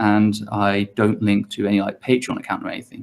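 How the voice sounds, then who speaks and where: Fairly quick speech from a man at medium pitch. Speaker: YouTuber, guest on talk show. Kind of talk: online panel interview. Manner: halting, stuttering at times.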